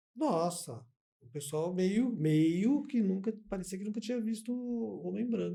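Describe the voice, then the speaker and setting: This man speaks with lively intonation, a high pitch and a dark, mellow tone. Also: fairly slow pace. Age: 60s. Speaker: podcast host. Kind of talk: casual interview chat.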